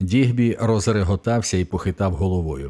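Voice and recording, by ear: Someone reads aloud in a natural voice, the pitch varying an ordinary amount.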